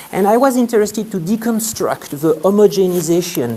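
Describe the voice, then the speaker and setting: A man with a French accent at a fairly quick pace, lively intonation, and noticeable background noise. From France. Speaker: sociology lecturer and PhD student. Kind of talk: conference presentation. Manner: halting, many fillers.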